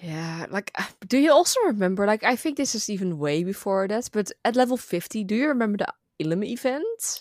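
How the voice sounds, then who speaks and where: In a Dutch accent, a woman speaks at a fairly quick pace with hardly any pauses, a fairly high pitch and very wide pitch swings, the sound dry and close with no echo. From Netherlands. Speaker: gaming content creator. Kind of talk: casual chat.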